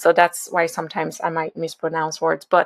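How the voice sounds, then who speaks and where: A woman speaks with a Nigerian accent. The recording is very clean, dry and close, with a silent background and no echo. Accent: Nigerian, noticeable. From Nigeria, Lagos. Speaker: venture capital investor. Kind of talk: podcast interview. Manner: conversational, with fillers and restarts.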